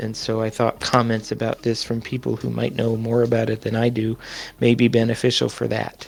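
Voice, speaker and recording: A man's medium-pitched voice in a monotone, flat intonation. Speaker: community educator presenting a training session. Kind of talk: online presentation to a community group. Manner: fast.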